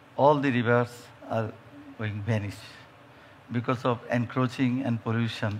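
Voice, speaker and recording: With a Bengali accent, a man at a medium pitch speaks fairly slowly in a monotone, flat intonation, leaving long, frequent pauses. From Bangladesh. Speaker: judge. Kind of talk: panel discussion. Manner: halting.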